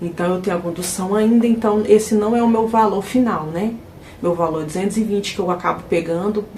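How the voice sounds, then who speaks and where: Over noticeable background noise and audible room echo, a woman talks at a fairly quick pace with a medium pitch and ordinary pitch variation. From Brazil, Minas Gerais (Ribeirão das Neves). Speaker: house cleaner and vlogger. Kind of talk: casual vlog talk to viewers.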